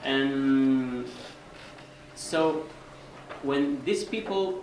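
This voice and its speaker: A man with a Spanish accent is heard with audible room echo and noticeable background noise. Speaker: volunteer organizer. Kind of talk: presentation Q&A. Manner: halting.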